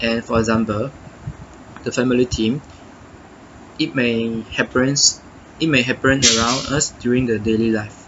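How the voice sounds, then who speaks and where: Against noticeable background noise, a man at medium pitch speaks at a moderate pace with fairly even intonation and long, frequent pauses. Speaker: university student. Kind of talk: reflection monologue. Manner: halting, many self-corrections.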